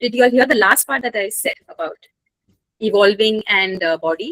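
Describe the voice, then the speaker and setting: The sound here is dry and close, with no echo at all. A woman talks fairly quickly. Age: 40s. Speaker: workshop facilitator. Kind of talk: online workshop Q&A. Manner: halting.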